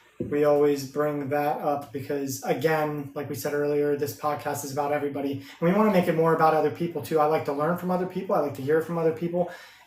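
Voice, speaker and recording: Amid audible room echo and noticeable background noise, a man with a fairly high pitch rushes along very fast with hardly any pauses and fairly even intonation. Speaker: podcast co-host. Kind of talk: casual chat. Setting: live stream. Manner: loud.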